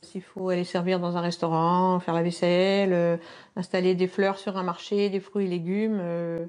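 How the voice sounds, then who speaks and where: A woman's medium-pitched, monotone delivery with flat intonation, at a fairly slow pace. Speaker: retired accounting secretary. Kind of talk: interview. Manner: hesitant.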